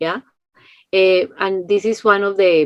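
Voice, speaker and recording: In a Spanish accent, a woman speaks at a very slow pace. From Colombia. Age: 50s. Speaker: social entrepreneur. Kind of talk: interview. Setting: video call.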